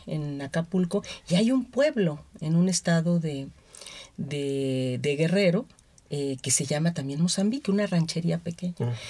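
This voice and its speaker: In an ordinary speaking voice, a woman talks at a fairly slow pace with lively intonation and a fairly low pitch. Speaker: anthropologist. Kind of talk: radio interview.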